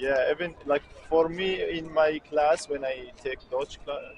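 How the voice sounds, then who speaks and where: A man with a Kurdish accent talks over noticeable background noise. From Syria. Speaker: student. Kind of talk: street interview. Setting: outdoors. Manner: halting.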